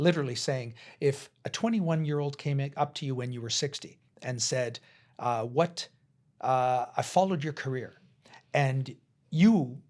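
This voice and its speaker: In a western Canadian accent, a man speaks at a moderate pace and a fairly high pitch, with ordinary pitch variation, long, frequent pauses and big swings in loudness. The recording is very clean, with a silent background. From Canada, interior British Columbia. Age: 60s. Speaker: cross-cultural educator and entrepreneur. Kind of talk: podcast interview.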